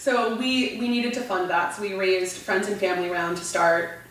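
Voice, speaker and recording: A woman's medium-pitched voice in an American accent, fairly even in intonation, with audible room echo and noticeable background noise. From US West Coast, Orange County California. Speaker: beverage entrepreneur. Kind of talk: interview conversation.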